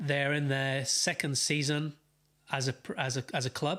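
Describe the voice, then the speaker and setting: With a Welsh accent, a man speaks at a moderate pace in a fairly high pitch, on a very clean recording with a silent background. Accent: noticeable accent (Welsh). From Wales, Wrexham. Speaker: football fan streamer. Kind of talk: live watchalong chat. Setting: live stream. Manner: hesitant, many fillers.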